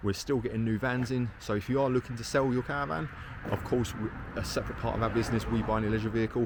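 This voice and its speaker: A man with a southern English accent talks at a very fast pace and a medium pitch. His intonation is fairly even, with noticeable background noise behind him. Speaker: caravan salesman. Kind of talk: casual video update. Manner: casual, hesitant with fillers.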